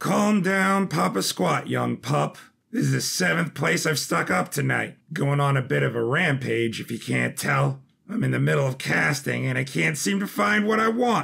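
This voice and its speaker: Using a put-on character voice, the man sounds raspy at a medium pitch. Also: moderate pace. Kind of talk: casual slang. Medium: audio drama. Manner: laid-back, slangy.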